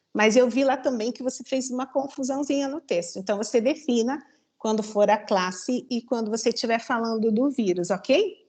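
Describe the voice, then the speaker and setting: Against a quiet background, a woman with a high pitch and ordinary pitch variation talks at a moderate pace with hardly any pauses. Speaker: thesis examiner. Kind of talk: academic feedback on a dissertation defense.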